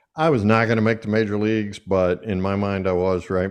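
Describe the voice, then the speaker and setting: A man's fairly low voice at a moderate pace against a quiet background. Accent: Southern US. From US South. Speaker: podcast host and speaker. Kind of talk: interview. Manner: animated.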